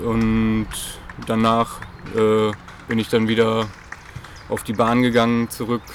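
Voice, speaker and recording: Amid noticeable background noise, a man at a medium pitch speaks in a monotone, flat intonation at a very slow pace with long, frequent pauses. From Germany, Münsterland (Dülmen area). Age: 30s. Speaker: athletics coach. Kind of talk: interview. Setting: at a sports club.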